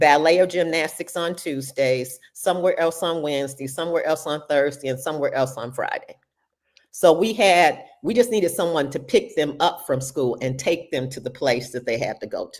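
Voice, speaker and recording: Here a woman speaks with an American accent at a very deep, low pitch. Her intonation is lively. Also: moderate pace. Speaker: retired teacher. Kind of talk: interview conversation.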